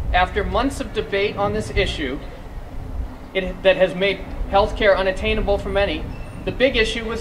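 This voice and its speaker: In an American accent, a man talks at a moderate pace with ordinary pitch variation. Audible room echo and noticeable background noise surround him. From Massachusetts. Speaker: small business advocacy coordinator. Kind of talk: rally speech.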